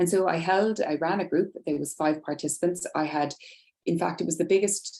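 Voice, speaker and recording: A woman with an Irish accent talks at a fairly quick pace. Her intonation stays fairly even. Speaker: nurse specialist presenting research. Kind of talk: webinar presentation. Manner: fast.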